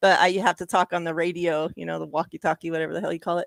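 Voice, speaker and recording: A woman with vocal fry talks at a very fast pace. The sound is dry and close with no echo, on a very clean recording with a silent background. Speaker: sports podcast co-host. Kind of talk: casual chat.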